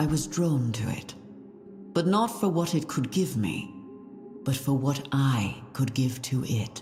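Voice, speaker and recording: With clear music in the background, a put-on character voice at a low-to-middle pitch moves at a fairly slow pace and leaves long, frequent pauses. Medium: video game. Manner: earnest, formal.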